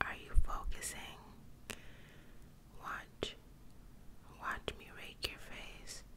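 Over loud background noise, a soft-spoken woman talks at a very slow pace. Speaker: ASMR creator. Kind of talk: soft ASMR roleplay talk. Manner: soft, close-mic ASMR speech. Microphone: studio mic.

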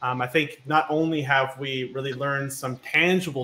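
A man's fairly high voice at a moderate pace, with noticeable background noise. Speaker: workshop moderator; online show host. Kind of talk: scripted introduction. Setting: live stream. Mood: warm, appreciative. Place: home room. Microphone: headset.

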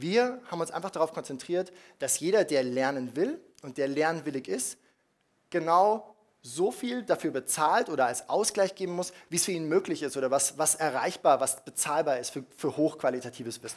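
A man speaks at a moderate pace with a fairly high pitch. His intonation is lively. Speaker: startup founder; speaker. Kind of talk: conference talk. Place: hall.

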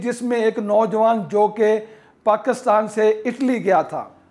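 Extremely high in pitch, a man speaks at a very slow pace. His tone is dark and mellow. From Pakistan. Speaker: YouTuber discussing migration and real estate; business coach. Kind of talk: monologue to camera. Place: home room. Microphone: lapel.

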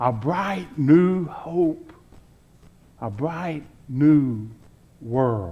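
This man has a fairly high pitch. His intonation is lively. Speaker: preacher, reverend. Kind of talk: Easter sermon delivered to a congregation. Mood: joyful, hopeful Easter tone. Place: church.

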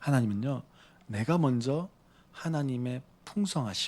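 His delivery moves at a moderate speed. The man's intonation is lively. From Busan, South Korea. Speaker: pastor. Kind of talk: sermon.

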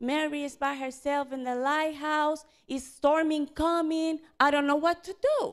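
Against a quiet background, a woman with a high pitch speaks at a fairly slow pace. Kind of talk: storytelling to children. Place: church. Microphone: handheld.

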